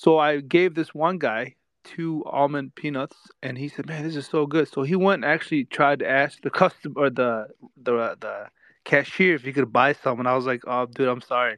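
A man with a normal speaking voice talks at a moderate pace, his pitch fairly high and his pitch variation ordinary. The sound is dry and close with no echo, and the background is quiet. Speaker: retail investor. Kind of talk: casual chat. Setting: online group call.

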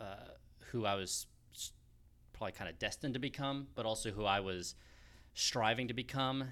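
The recording is very clean with a silent background. A man speaks at a moderate pace in a bright, sharp tone with fairly even intonation. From US West Coast, Los Angeles. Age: 30s. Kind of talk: casual interview on grief and faith. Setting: recorded at his church.

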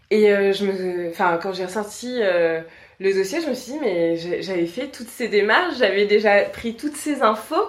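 Lively intonation from a woman at a fairly slow pace, amid noticeable background noise. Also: medium pitch for a woman. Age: 30s. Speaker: communication agency owner. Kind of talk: interview.

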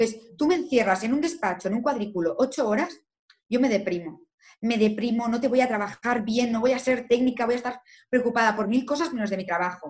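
This woman has a fairly high voice and an animated tone, talking at a fairly quick pace. Her intonation is lively, and her loudness swings widely. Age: 20s. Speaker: lawyer. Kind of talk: interview.

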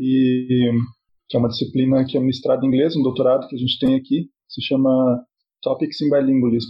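Somewhat breathy male voice at medium pitch, monotone and flat, at a fairly quick pace. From southern Brazil, Paraná (Cascavel). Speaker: psychology professor and bilingualism researcher. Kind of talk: podcast interview.

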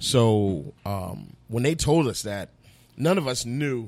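A man with an American accent has a normal speaking voice, medium in pitch with ordinary pitch variation. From Fort Myers, Florida. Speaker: barbecue sauce business owner. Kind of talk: casual interview chat.

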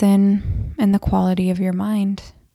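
A woman's medium-pitched voice, gentle and calm in tone, dark and mellow. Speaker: podcast host and endometriosis coach. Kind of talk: guided meditation. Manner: calm, soothing; slow, gentle pacing.

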